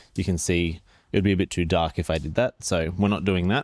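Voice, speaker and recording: Mumbling in an Australian accent, a man with a very deep, low pitch keeps his intonation fairly even in a very clean recording with a silent background. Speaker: photography youtuber. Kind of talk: product review. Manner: casual. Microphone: new microphone.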